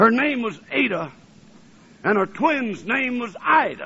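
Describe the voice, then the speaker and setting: A man with a Southern US accent and an extremely high pitch. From US South, Alabama. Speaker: preacher. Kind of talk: sermon. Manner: fervent.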